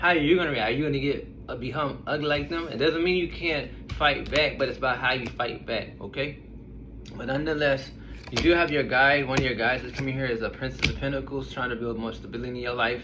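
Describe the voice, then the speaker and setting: A man talks very fast at a medium pitch with ordinary pitch variation. Audible room echo and noticeable background noise are present. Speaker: tarot reader. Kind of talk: tarot reading to camera. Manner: casual, blunt.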